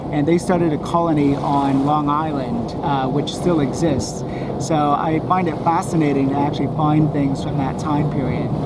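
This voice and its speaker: A man with an American accent speaks at a moderate pace in a fairly high pitch, his flat, monotone intonation and very even loudness set against noticeable background noise. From United States. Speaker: mudlark, finds collector. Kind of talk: casual show-and-tell explanation.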